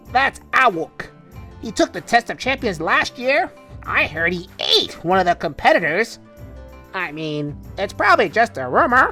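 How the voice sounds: Over clear background music, the speaker uses a put-on character voice at a middle pitch and moderate pace.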